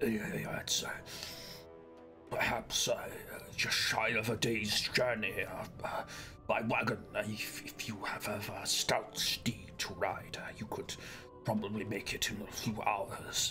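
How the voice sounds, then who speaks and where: A man whispers in a put-on character voice at a very slow pace, pausing long and often. Clear music plays in the background. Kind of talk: formal, old-fashioned speech. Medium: actual play. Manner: fretful, polite.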